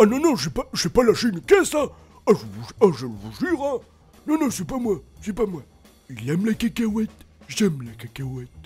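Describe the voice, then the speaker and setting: A man puts on a character voice at a high pitch, moving at a moderate pace with long, frequent pauses. Music plays in the background. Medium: solo performance. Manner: rambling, hesitant.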